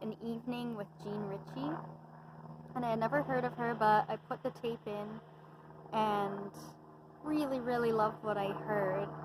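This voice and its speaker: A woman keeps to a moderate pace and ordinary pitch variation while noticeable background noise carries on around her. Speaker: singer-songwriter. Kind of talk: casual talk about musical influences.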